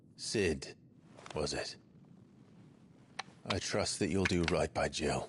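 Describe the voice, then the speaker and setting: Using a put-on character voice with a very deep, low pitch, a man talks at a fairly slow pace with long, frequent pauses. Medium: video game. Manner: terse, grave.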